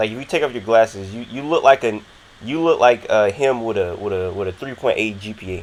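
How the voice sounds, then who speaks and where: On a very clean recording with a silent background, a man with an American accent talks at a fairly quick pace. His pitch is medium with ordinary variation, and his loudness swings widely. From Florida. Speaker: interviewer, channel host. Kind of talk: casual interview. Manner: fast.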